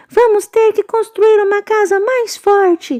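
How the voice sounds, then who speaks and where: A woman puts on a squeaky character voice at an extremely high pitch. She speaks at a fairly slow pace with fairly even intonation. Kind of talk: bedtime story. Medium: read story. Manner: polite, speaking together.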